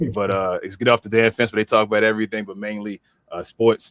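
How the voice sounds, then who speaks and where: A man with a Baltimore accent speaks very fast in a fairly low, monotone, flat voice, recorded dry and close with no echo in a very clean recording against a silent background. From Baltimore, Maryland. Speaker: wrestling podcast host. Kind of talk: casual show outro.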